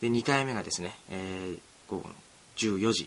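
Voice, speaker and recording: A man speaks at a fairly slow pace with lively intonation over noticeable background noise. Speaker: student radio host. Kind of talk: casual solo radio talk.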